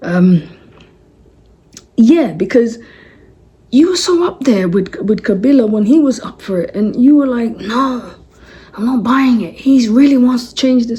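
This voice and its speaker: In a London accent, a woman with a high pitch speaks at a fairly slow pace, her animated tone and lively intonation broken by long, frequent pauses. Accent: London English with Congolese roots. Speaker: political commentator. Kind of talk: casual commentary monologue.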